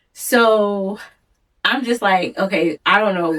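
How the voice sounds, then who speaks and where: A woman uses an ordinary speaking voice, pitched at a medium level with ordinary pitch variation. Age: 40s. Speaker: podcast co-host (daughter). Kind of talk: casual chat.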